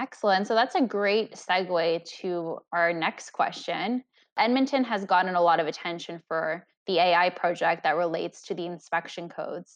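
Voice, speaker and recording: A woman with a normal speaking voice, medium pitch and ordinary pitch variation talks at a moderate pace against a quiet background. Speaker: podcast interviewer. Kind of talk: interview questions.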